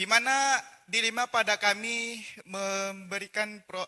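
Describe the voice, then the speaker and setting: Very slowly, a man with a high pitch and a bright, sharp tone uses a raised, projected voice with ordinary pitch variation, recorded very cleanly against a silent background with a dry, close sound and no echo. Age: young. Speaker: college student. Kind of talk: audience question. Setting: hall, at a microphone. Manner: halting, many fillers.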